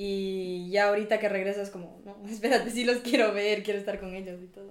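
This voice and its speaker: A woman's intonation stays monotone and flat. She speaks at a fairly quick pace. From Ecuador. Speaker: university student. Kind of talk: casual chat.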